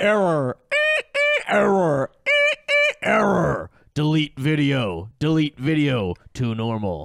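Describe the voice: Using a put-on character voice, a man speaks at a fairly high pitch and a very slow pace, with long, frequent pauses.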